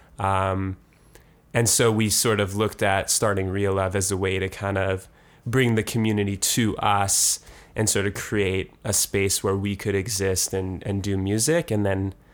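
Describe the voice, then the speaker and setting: A man with a Canadian accent has an unremarkable speaking voice. He talks fairly slowly at a fairly low pitch. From Canada, Winnipeg. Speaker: musician and concert promoter. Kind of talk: casual interview.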